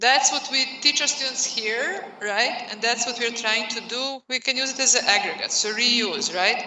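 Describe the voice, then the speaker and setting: Over noticeable background noise and audible room echo, a woman with a Serbian accent speaks in a high pitch with ordinary pitch variation and hardly any pauses. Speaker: professor. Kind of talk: lecture. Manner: slow.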